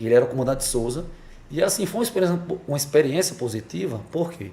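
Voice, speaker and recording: A man's dark, mellow, somewhat breathy voice races along very fast with very wide pitch swings, and room echo can be heard. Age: 40s. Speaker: police officer. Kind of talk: interview. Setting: podcast studio in a barbershop. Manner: hesitant with repetitions.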